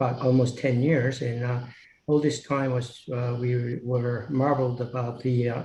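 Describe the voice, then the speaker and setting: In audible room echo, a man with a medium pitch and a somewhat breathy voice talks in a monotone, flat intonation. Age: 70s. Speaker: applicant, local resident. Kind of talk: public hearing statement. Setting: video call. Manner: halting, many fillers.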